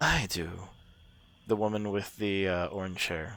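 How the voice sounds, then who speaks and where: Putting on a character voice, a man speaks fairly low at a moderate pace. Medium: actual play.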